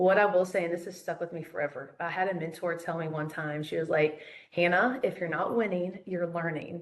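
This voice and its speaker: This woman talks with a fairly low pitch, a fairly even intonation, and a Southern US accent. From US South, Charlotte, North Carolina. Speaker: phone sales trainer. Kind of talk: interview.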